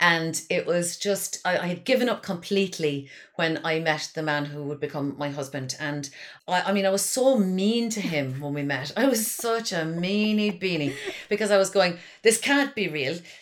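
Over noticeable background noise, a woman speaks at a moderate pace with a fairly low pitch and lively intonation. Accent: Cork. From Ireland, Kinsale, County Cork. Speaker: comedian and writer. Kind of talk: casual chat. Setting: remote, at her mother's house.

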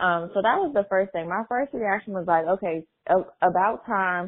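With an American accent, a woman at medium pitch speaks at a moderate pace in an unremarkable speaking voice, her intonation fairly even. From Maryland. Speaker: voicemail caller. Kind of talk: voicemail message.

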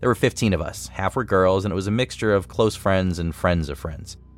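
A man's very deep, low voice at a very fast pace with ordinary pitch variation and music in the background. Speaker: story narrator. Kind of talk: ghost story telling, hushed, spooky narration. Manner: tense, suspenseful, building dread.

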